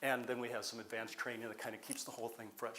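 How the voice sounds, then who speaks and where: A man at medium pitch, with audible room echo. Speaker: community college welding professor. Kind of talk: conference presentation.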